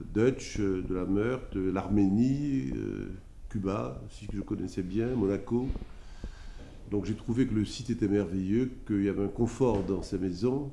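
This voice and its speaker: In a room with audible echo, a man talks at a fairly slow pace in a fairly low voice with a dark, mellow tone and ordinary pitch variation. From Haiti. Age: 70s. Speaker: lawyer, former student resident. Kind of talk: interview testimony, reminiscing. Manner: hesitant, many filler sounds.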